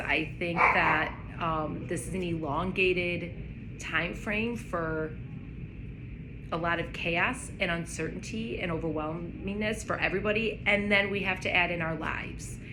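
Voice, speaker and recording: Through noticeable background noise and audible room echo, a woman with a fairly low pitch talks at a fairly slow pace with fairly even intonation. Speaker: vlogger. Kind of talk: casual chat.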